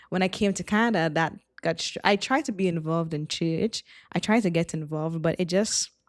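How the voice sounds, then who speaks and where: A woman's fairly low voice in a Trinidadian accent. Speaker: former youth pastor, missionary. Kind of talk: casual chat.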